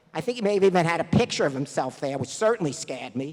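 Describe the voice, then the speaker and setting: With a New York accent, a man talks using lively intonation. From New York, the Bronx. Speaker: math competition director. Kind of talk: awards ceremony speech.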